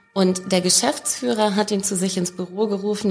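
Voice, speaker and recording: A woman speaks at a moderate pace, her pitch medium with ordinary variation. Music plays in the background. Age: 40s. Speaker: leadership expert. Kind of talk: casual interview.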